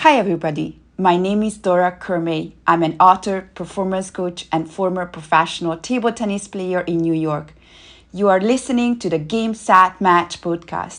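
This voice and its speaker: A woman with a Hungarian accent, medium pitch, ordinary pitch variation and a moderate pace, against a quiet background. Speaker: performance coach. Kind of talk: scripted intro.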